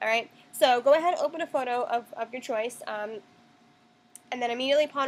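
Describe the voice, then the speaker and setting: A woman's high-pitched voice at a very fast pace. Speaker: tutorial maker. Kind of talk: tutorial. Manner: casual, hesitant with ums.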